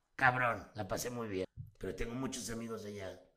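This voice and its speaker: A man's voice with audible room echo. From Mexico City. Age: 40s. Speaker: voice actor. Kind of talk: casual chat. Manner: loud.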